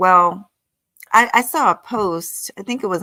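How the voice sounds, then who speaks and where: A woman with a fairly low pitch, vocal fry and a bright, sharp tone speaks in an animated tone with very wide pitch swings, in a very clean recording with a silent background and a dry, close sound with no echo. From US South. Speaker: vlogger. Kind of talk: casual livestream talk.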